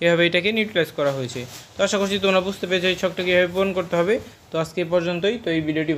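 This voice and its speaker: With fairly even intonation, a man talks in an unremarkable speaking voice. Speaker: online tutor for school English. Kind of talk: tutorial.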